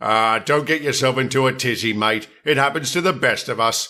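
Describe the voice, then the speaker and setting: A man in a cartoonish character voice at a medium pitch and moderate pace. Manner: cheeky, self-satisfied.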